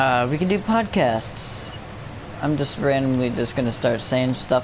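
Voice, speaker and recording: A man speaks quietly at a medium pitch and fairly slow pace, his loudness very even and his pitch variation ordinary. Audible room echo and noticeable background noise fill the recording. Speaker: gaming livestreamer. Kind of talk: casual livestream commentary. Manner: halting.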